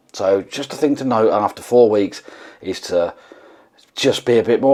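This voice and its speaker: The speaker is a man with an English accent. He talks at a moderate pace. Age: 40s. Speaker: vlogger. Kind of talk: casual vlog monologue.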